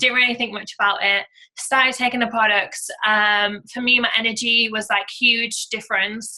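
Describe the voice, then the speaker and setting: In a British accent, a woman with a fairly high, bright, sharp voice speaks at a moderate pace in a flat monotone. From UK. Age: 20s. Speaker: network marketing entrepreneur. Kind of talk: testimony. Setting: conference call. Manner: casual, filler-heavy.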